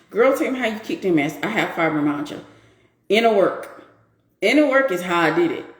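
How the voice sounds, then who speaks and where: Over audible room echo, a woman with a fairly high pitch speaks at a fairly quick pace, her pitch swinging very widely, with long, frequent pauses. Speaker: women's empowerment coach hosting a live stream. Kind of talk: live stream talk answering viewers. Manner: animated.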